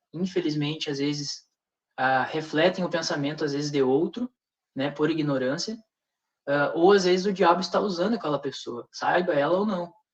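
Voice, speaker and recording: Fairly high male voice, its pitch varying in an ordinary way. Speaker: religious speaker in panel discussion. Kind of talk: religious discussion with rebuttal. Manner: fast; hesitant, with many fillers.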